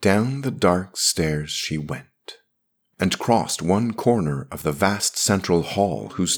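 The reading aloud is in a natural voice, its intonation lively. Nothing intrudes from the quiet background.

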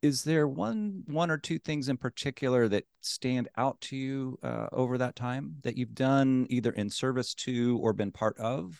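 A man with a normal speaking voice, medium in pitch, talks at a fairly slow pace with hardly any pauses and ordinary pitch variation. The very clean recording has a silent background and a dry, close sound with no echo. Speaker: podcast host. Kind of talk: interview.

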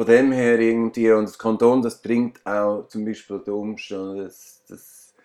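A man's medium-pitched voice, flat and monotone, dark and mellow in tone, at a fairly slow pace. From Switzerland, Aargau. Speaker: musician and painter. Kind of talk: interview. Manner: halting.

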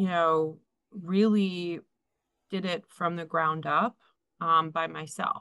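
A woman talks at a very slow pace in a fairly low pitch. Her tone is bright and sharp, and her intonation is monotone and flat. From Philadelphia. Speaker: insurance sales director. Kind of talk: casual chat.

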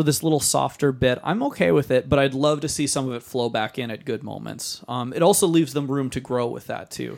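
In an unremarkable speaking voice, a man talks at a fairly quick pace with medium pitch, ordinary pitch variation and hardly any pauses. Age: young. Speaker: podcast co-host, music teacher. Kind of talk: casual chat.

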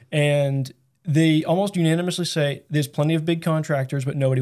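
In a very clean recording with a silent background, a man with an American accent speaks at a fairly quick pace in an unremarkable speaking voice, pitched fairly high. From Massachusetts. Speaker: carpenter and business co-owner. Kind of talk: casual interview.

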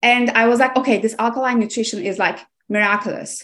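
Speaking with a Turkish accent, a woman has a fairly high pitch. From Aegean coast of Turkey. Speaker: nutrition coach. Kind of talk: interview.

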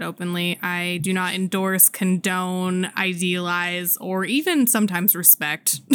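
A woman at a medium pitch with an unremarkable speaking voice, fairly slow pace and hardly any pauses, on a very clean recording with a silent background. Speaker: podcast co-host. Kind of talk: casual chat.

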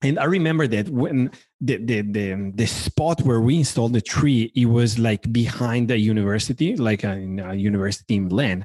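With an Italian accent, the speaker keeps a moderate pace, very even loudness and ordinary pitch variation in a dry, close sound with no echo. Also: man, medium pitch for a man. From Italy. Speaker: furniture design director. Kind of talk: casual interview. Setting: video call.

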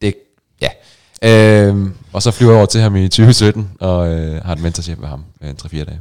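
Very deep and low in pitch, a man speaks with ordinary pitch variation. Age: 30s. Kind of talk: casual chat.

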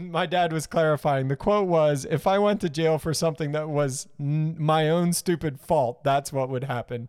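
With a plain, everyday voice, a man speaks at a fairly high pitch and moderate pace, using ordinary pitch variation and hardly any pauses. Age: 30s. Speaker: podcast co-host. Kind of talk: casual chat. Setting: live-streamed studio podcast.

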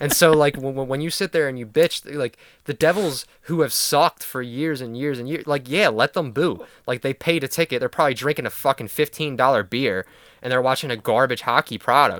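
This man's voice sits fairly high and moves with ordinary pitch variation. He speaks at a fairly quick pace, and the sound is dry and close with no echo. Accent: Philadelphia. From Philadelphia. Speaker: sports podcast co-host. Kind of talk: casual chat. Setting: remote recording.

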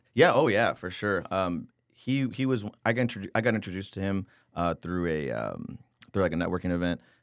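A normal speaking voice with an American accent, lively intonation and a fairly quick pace, on a very clean recording with a silent background. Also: man, fairly low pitch for a man. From San Antonio, Texas. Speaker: tax optimization consultant. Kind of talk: casual interview.

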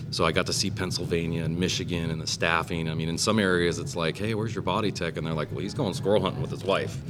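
With an American accent, the speaker talks at a very fast pace with hardly any pauses and lively intonation, over noticeable background noise and audible room echo. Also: man, very deep, low pitch for a man. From California. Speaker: business owner. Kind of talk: casual chat. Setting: brewery back room.

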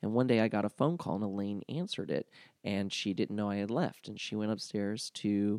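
In a normal speaking voice with an American accent, a man with fairly low pitch speaks at a moderate pace on a very clean recording with a silent background and a dry, close sound with no echo. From US South. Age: 30s. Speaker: comedian. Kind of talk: casual chat.

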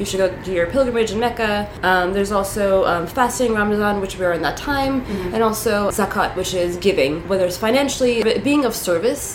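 Over noticeable background noise and audible room echo, a woman with an American accent speaks at a fairly high pitch with ordinary pitch variation. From New York City, Queens. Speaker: activist and sex educator. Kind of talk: casual interview. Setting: recording room with parade passing outside.

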